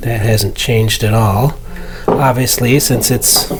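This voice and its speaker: A man speaks very slowly at a medium pitch, with noticeable background noise. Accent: American. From Arizona, US (Phoenix). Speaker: hobbyist video maker. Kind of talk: casual tutorial vlog. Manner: hesitant with fillers.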